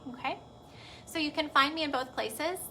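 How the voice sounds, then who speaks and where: A woman's raised, projected voice with a Texas accent, very fast pace and ordinary pitch variation. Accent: Texas twang. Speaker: pediatric physical therapist. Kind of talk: live video talk to parents. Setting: Facebook live video. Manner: casual, chatty.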